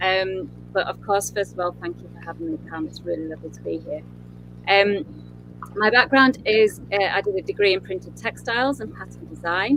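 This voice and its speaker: A woman with a Yorkshire accent, speaking at a moderate pace. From northern England, Yorkshire. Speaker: interior designer. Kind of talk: interview with presentation.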